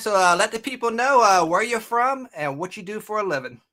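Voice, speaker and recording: On a very clean recording with a silent background, a man with an American accent speaks fairly quickly in a raised, projected voice that is high-pitched, bright and sharp, with lively intonation. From Maryland, US. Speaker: podcast host. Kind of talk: interview. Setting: live stream. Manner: casual.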